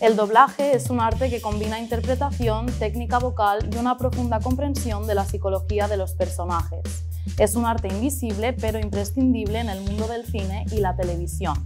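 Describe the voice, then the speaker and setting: The talking proceeds at a moderate pace. Background music accompanies it. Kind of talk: interview host introduction.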